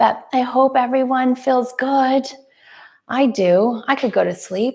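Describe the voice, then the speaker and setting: A soft-spoken woman talks very slowly in a high pitch. Her intonation is fairly even, and her loudness stays very even. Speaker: yoga instructor. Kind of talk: casual chat with live viewers; guided yoga class. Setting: live stream.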